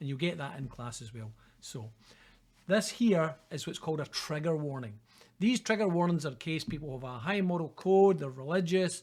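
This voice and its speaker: A man's fairly high voice with a Scottish accent, lively intonation, big swings in loudness and a moderate pace, on a very clean recording with a silent background. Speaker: university lecturer. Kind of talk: lecture. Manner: casual, conversational.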